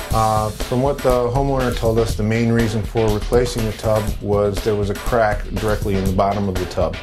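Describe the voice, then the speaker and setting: Clear music plays behind a man whose fairly low voice keeps a fairly even intonation. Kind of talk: interview answer. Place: bathroom. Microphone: lapel.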